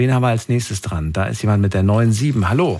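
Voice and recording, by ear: This man talks fast at a fairly low pitch, his tone slightly mellow.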